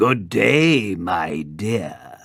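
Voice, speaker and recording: A man puts on a raspy character voice with very deep, low pitch. His pitch swings very widely. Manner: growling, with a smile.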